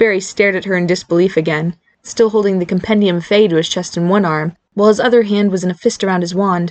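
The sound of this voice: The reading voice sounds unforced, with intonation kept fairly even. Nothing much stirs in the quiet background.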